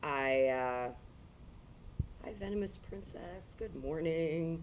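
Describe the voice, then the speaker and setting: A woman's very deep, low voice at a very slow pace, with audible room echo. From New England. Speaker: paranormal livestreamer. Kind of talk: casual livestream chat.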